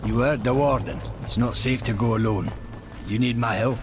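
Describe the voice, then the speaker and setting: Loud background noise surrounds a man doing a put-on character voice at a medium pitch. The voice is gruff and moves at a moderate pace. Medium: video game. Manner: gruff, archaic speech.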